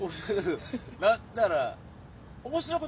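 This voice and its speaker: Against noticeable background noise, a man with a Kansai accent speaks with very wide pitch swings. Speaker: comedian. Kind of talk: casual chat. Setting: outdoors in a park.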